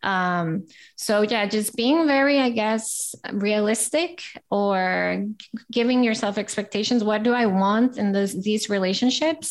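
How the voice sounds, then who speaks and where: In a very clean recording with a silent background, a woman speaks with an American accent at a fairly slow pace. Hers is a plain, everyday voice, fairly high in pitch with ordinary pitch variation. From Costa Rica, raised also in US and Italy. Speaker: life coach and entrepreneur. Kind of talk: interview.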